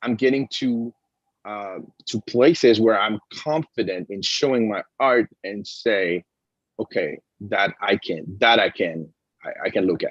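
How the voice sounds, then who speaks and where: A man with a French accent speaks at a medium pitch and a fairly slow pace, with ordinary pitch variation and a dry, close sound with no echo. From France. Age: 50s. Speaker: comic book writer and artist. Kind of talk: interview conversation. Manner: halting, many fillers and restarts.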